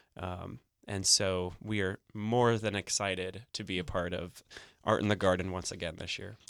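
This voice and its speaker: With a Midwestern accent, a man talks at a moderate pace in a very deep, low voice, his intonation fairly even over a very clean recording and silent background. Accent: general American, Midwestern. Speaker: corporate sponsor representative. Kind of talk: radio interview. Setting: studio. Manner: filler-heavy, friendly.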